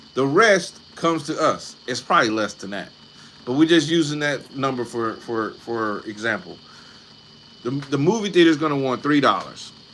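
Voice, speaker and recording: Animated in tone, a man speaks at a fairly high pitch with lively intonation and a moderate pace. Noticeable background noise can be heard. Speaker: online creator talking about film streaming income. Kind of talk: live stream talk.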